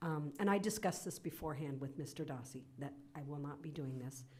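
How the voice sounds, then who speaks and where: A woman's very deep, low voice, somewhat breathy and dark and mellow in tone, at a fairly quick pace with audible room echo. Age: 60s. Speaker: council chair. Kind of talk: council meeting chairing.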